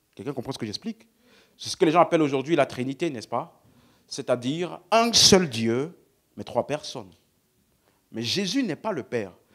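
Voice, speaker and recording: Against a silent background on a very clean recording, a man with a fairly high pitch makes very wide pitch swings and big swings in loudness, leaving long, frequent pauses. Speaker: preacher. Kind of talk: sermon. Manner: slow.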